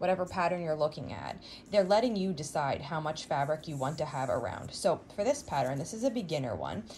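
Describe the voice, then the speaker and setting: A woman talks at a fairly quick pace in a fairly low, somewhat breathy voice. There is light background noise. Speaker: quilting tutorial host. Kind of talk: tutorial. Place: home room.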